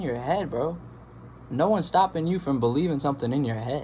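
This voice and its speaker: A man with a fairly high pitch, a dark, mellow tone and a somewhat breathy voice talks at a very fast pace with ordinary pitch variation. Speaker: meditation youtuber. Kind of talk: casual monologue.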